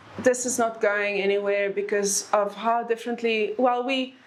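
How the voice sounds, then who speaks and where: With an Afrikaans accent, a woman speaks fairly slowly at a fairly high pitch and fairly even intonation, over noticeable background noise. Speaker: author. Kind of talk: book talk Q&A.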